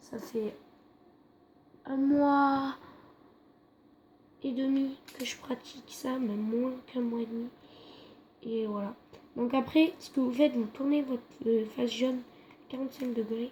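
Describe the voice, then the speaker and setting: A woman speaks quietly in a high voice at a fairly slow pace, with fairly even intonation and long, frequent pauses. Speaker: YouTuber. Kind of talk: tutorial. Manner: halting.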